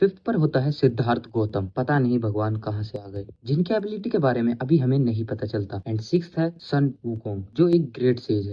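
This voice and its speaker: Somewhat breathy and at a medium pitch, a man talks at a moderate pace with lively intonation and hardly any pauses. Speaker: Hindi anime explainer narrator. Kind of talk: anime story recap narration.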